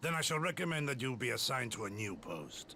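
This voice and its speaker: A man uses a put-on character voice with lively intonation and a medium pitch. He talks at a very fast pace over clear background noise. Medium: video game. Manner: measured, formal.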